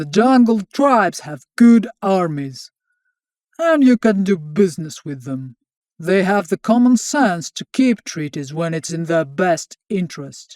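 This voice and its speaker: Putting on a character voice, a man speaks fairly slowly at a high pitch, with very wide pitch swings and big swings in loudness, in a dry, close recording with no echo. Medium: read story. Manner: blunt, coarse.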